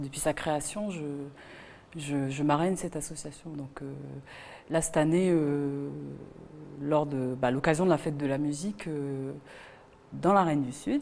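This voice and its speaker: A woman with a Wallisian accent speaks at a fairly slow pace with long, frequent pauses. Her very deep, low pitch carries fairly even intonation. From Wallis and Futuna. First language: Wallisian (speaking French). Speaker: singer. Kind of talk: interview. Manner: halting, many fillers.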